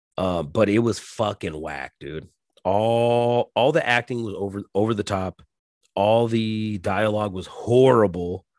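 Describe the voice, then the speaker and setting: In a normal speaking voice, a man talks at a fairly slow pace with a fairly low pitch and ordinary pitch variation, the sound dry and close with no echo. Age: 40s. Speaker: podcast host. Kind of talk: casual solo monologue. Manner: filler-heavy, frequent ums.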